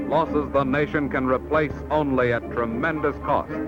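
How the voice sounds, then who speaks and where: A man speaks with music playing in the background. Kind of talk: vintage educational film narration.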